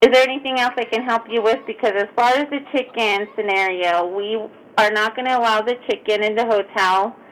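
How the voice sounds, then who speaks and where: On a very clean recording with a silent background, an unremarkable speaking voice moves at a fairly quick pace with fairly even intonation. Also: woman, fairly high pitch for a woman. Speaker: hotel front desk clerk. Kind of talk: prank call, customer service.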